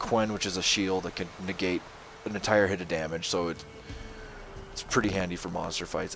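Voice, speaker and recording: A man's fairly low voice at a very fast pace, fairly even in intonation, with noticeable background noise. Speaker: gaming channel host. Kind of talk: video game commentary. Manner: monotone.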